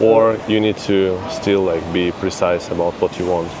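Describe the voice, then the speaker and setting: There is noticeable background noise as a man speaks. His pitch is fairly low with ordinary variation. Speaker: interviewer, channel host. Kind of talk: casual interview questions.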